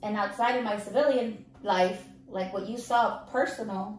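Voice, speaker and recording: A woman's fairly high voice with ordinary pitch variation, audible room echo and noticeable background noise. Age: 30s. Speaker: Navy veteran, podcast host. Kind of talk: casual interview chat. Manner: animated.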